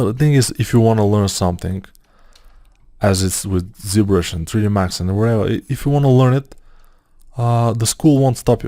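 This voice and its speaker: On a very clean recording with a silent background, a man speaks at medium pitch and a moderate pace in a dark, mellow tone, with ordinary pitch variation and long, frequent pauses. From Bulgaria. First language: Bulgarian. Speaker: 3D modeling tutor. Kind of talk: tutorial. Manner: casual, halting with fillers.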